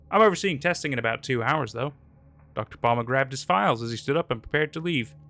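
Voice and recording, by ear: The speaker reads aloud in a natural voice.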